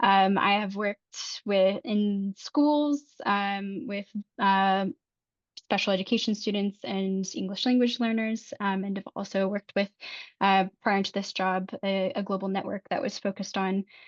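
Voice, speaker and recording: A woman speaks with an American accent at a fairly slow pace and a medium pitch. Her intonation is fairly even, and the sound is dry and close with no echo. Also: quiet background. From United States. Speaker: policy advocacy officer at a charity. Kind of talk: self-introduction on a conference call. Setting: conference call. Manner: hesitant with many ums.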